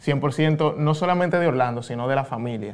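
A man speaks with a Dominican accent. His pace is moderate. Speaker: podcast host. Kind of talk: interview.

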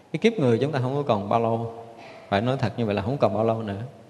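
A man with a medium-pitched voice speaks at a very fast pace. Noticeable background noise can be heard. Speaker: Buddhist monk, abbot. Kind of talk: dharma talk. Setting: temple. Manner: frequent filler pauses.

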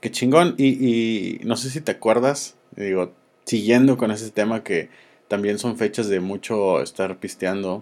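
Speaking fairly slowly with a Mexican accent, the voice shows ordinary pitch variation. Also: man, medium pitch for a man. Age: 30s. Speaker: podcast host. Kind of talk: casual chat.

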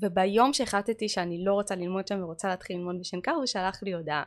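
Against a quiet background, a woman talks at a fairly quick pace. Her pitch sits at a medium level with ordinary variation. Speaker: manicurist and chemistry lecturer. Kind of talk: casual chat.

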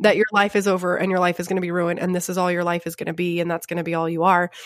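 This is a woman speaking. She has a slight Texan accent. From Grapevine, Texas. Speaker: podcast host. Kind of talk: casual chat. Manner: playful.

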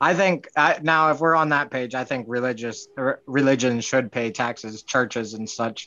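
A man speaks at a moderate pace with hardly any pauses. His medium-pitched voice has a bright, sharp tone and ordinary pitch variation. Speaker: congressional candidate. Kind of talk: casual chat.

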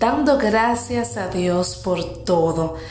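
A woman with lively intonation, amid audible room echo and noticeable background noise. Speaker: motivational podcast host. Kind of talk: motivational talk.

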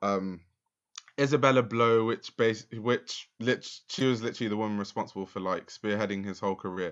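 Someone with a London accent speaks at a fairly quick pace in a very clean recording with a silent background. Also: man. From south London, Lewisham. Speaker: fashion journalist and YouTuber. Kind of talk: casual interview chat.

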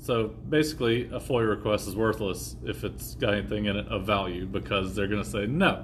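A man's fairly low voice with vocal fry, very wide pitch swings and hardly any pauses. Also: fairly quick pace. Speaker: podcast host. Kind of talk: casual chat. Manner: casual, joking.

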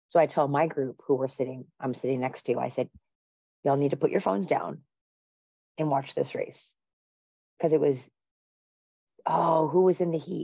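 Long, frequent pauses break up a woman's very deep, low-pitched voice, which has a dark, mellow tone and ordinary pitch variation. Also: moderate pace. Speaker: lead podcast host, track coach. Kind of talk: casual chat.

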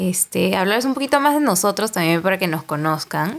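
Her pitch in the medium range, a woman speaks with lively intonation. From Peru, Lima. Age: 20s. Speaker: podcast host, marketing agency worker. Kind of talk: casual chat.

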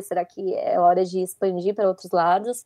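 In a dark, mellow tone, a woman speaks at a medium pitch and a moderate pace with fairly even intonation, the sound dry and close with no echo. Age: 20s. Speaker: audiovisual production student and photographer. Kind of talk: casual interview chat.

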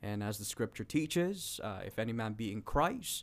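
An unremarkable speaking voice from a man, medium in pitch with ordinary pitch variation, on a very clean recording with a silent background. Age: 30s. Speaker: pastor. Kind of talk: religious discussion.

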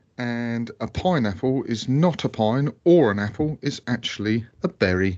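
With an English accent, a man speaks against a quiet background. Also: medium pitch for a man, lively intonation, moderate pace, hardly any pauses. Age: 30s. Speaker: podcast co-host. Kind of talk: casual chat.

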